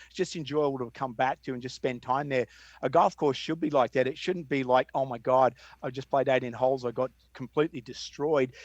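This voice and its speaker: A man with an Australian accent speaks at a fairly quick pace, his intonation fairly even, against a quiet background. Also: dry, close sound with no echo. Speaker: golf course designer. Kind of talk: interview conversation.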